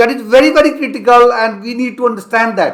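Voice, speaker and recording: Ordinary pitch variation marks this man's speech. His pace is moderate. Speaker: financial advisor. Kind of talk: tutorial.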